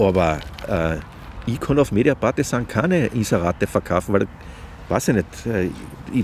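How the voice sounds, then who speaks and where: There is noticeable background noise. A man speaks with very wide pitch swings. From Austria, Carinthia (Klagenfurt). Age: 50s. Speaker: journalist. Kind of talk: casual interview chat. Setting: outdoors on a park bench.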